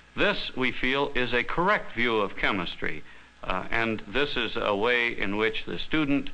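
The tone of this man's voice is bright and sharp. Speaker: chemistry course teacher or developer. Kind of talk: explanatory newsreel interview. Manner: formal, measured. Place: studio.

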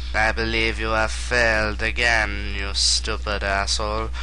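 Clear background noise sits under a man doing a put-on character voice at a moderate pace. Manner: menacing, scornful.

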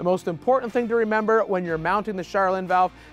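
A man's voice, dry with no echo, with faint music in the background. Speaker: shop host explaining parts. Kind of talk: tutorial. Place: garage.

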